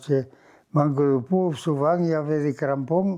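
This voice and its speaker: Speaking very slowly, a man keeps a fairly even intonation. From Gers, southwest France. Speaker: former rugby player; former farmer. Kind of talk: interview answer, life story. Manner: casual, conversational.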